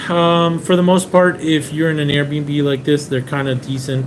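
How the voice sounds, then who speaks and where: A man with an American accent, amid audible room echo. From Venezuela, raised in the US from age seven. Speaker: car importer, live stream host. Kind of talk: live stream Q&A chat. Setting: Airbnb in Japan, live stream. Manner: casual, with frequent fillers.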